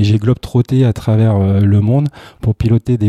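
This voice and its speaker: Fairly low in pitch, a man talks at a moderate pace with fairly even intonation, on a very clean recording with a silent background. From Brittany. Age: 40s. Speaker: tech entrepreneur. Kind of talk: interview. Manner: halting.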